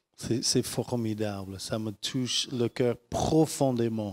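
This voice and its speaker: Using ordinary pitch variation, a man with an American accent speaks at a very slow pace. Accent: American accent in French, worse than usual. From United States. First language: English (speaking French). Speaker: pastor. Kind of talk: sermon. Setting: church. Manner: halting.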